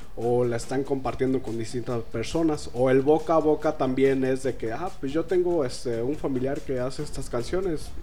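In a dark, mellow tone, a man speaks at medium pitch and a moderate pace, with ordinary pitch variation and hardly any pauses. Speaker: singer-songwriter. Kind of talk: casual interview.

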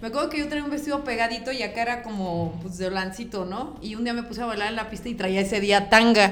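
A woman's fairly high voice with a Mexican accent, very fast pace, hardly any pauses, ordinary pitch variation and noticeable background noise. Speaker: guest on comedy podcast. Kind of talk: casual chat.

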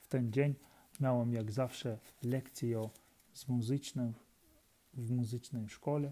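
A man with a Ukrainian accent at a medium pitch, in a dark, mellow tone with monotone, flat intonation, at a very slow pace with long, frequent pauses and big swings in loudness. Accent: Ukrainian accent in Polish. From Ukraine. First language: Ukrainian (speaking Polish). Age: 30s. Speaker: Polish language learner. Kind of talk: reading aloud. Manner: halting.

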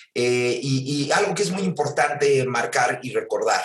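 Using a normal speaking voice, a man talks with fairly even intonation at a fairly high pitch. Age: 50s. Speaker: theatre producer and director. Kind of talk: casual chat.

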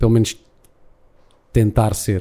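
The man's voice has a dark, mellow tone. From Portugal, Algarve. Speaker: MC and actor. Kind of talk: casual interview chat. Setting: live show with small audience at breakfast venue.

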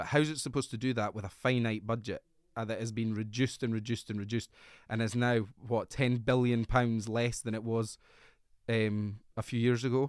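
Someone with a Scottish accent talks at a fairly quick pace in a monotone, flat way, in a very clean recording with a silent background. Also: man, medium pitch for a man. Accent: Scottish (Fife). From Scotland, Fife. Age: 30s. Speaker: politician. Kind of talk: interview.

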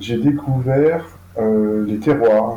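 The man's tone is dark and mellow. He speaks at a very slow pace. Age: 50s. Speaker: food traceability platform founder. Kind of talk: interview. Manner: halting, frequent repetitions and fillers.

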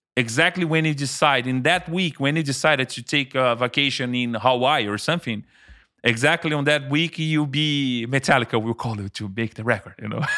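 The tone is bright and sharp, with ordinary pitch variation and a moderate pace, in a very clean recording with a silent background. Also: man. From Brazil. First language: Portuguese. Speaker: music producer and engineer. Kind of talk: casual interview chat.

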